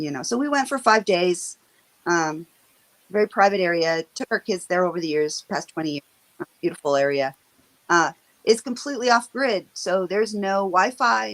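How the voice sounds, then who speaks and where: At a moderate pace and medium pitch, a woman with an American accent speaks with very wide pitch swings in a dry, close sound with no echo. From western Washington. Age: 50s. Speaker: stroke survivor. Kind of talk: interview. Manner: halting.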